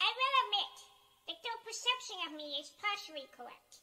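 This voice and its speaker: Her voice is raised and projected. This woman's tone comes across bright and sharp. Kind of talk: comedic monologue.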